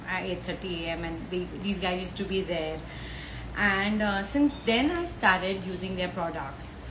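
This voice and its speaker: The speech moves at a fairly slow pace amid noticeable background noise. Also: woman, ordinary pitch variation. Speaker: live show host. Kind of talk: casual livestream introduction. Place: home room. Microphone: earbuds.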